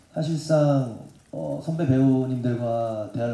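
A man talks at a fairly slow pace with audible room echo. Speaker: singer and actor. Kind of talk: press conference answer. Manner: hesitant, polite. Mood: polite, calm, slightly nervous. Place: hall. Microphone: handheld.

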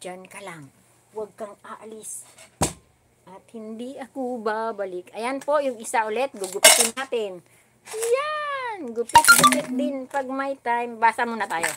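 High pitch from a woman, with noticeable background noise around her voice. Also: ordinary pitch variation, fairly slow pace, big swings in loudness. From Philippines. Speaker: YouTube vlogger. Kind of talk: livestream craft tutorial. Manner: animated.

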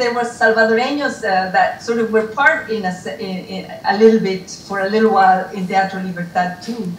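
A woman speaks with ordinary pitch variation. Audible room echo and light background noise are present. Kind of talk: reflective remarks at a reunion. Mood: warm, grateful, emotional. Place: home room. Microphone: video call.

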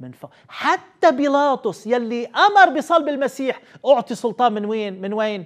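Against a quiet background, a man speaks at a fairly slow pace in an extremely high pitch, with very wide pitch swings and big swings in loudness. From Lebanon. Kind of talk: Bible teaching. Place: studio. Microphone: lapel.

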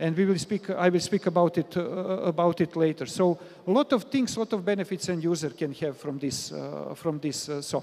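A man with a fairly high pitch and a slightly mellow tone speaks at a moderate pace with few pauses, showing vocal fry and ordinary pitch variation.

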